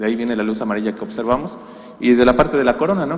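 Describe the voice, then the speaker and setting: A man talks at medium pitch with fairly even intonation, with audible room echo and noticeable background noise. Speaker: astrophysics researcher. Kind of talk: conference talk. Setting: conference hall with PA system.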